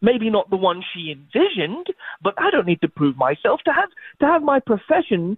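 Speaking at a fairly quick pace, a man with an English accent swings very widely in pitch. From England. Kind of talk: casual chat. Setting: phone call.

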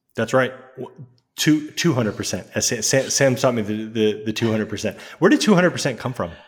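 This man talks at a medium pitch and a moderate pace, with ordinary pitch variation. He has a normal speaking voice. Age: 30s. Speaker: podcast co-host. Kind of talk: casual chat.

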